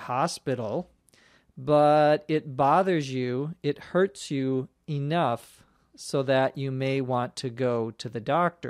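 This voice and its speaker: With a Minnesota accent, the speech moves at a very slow pace, the sound dry and close with no echo in a very clean recording against a silent background. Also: man. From Minnesota, US. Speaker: English teacher, podcast host. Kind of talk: language lesson podcast. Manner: slow, clear explanatory.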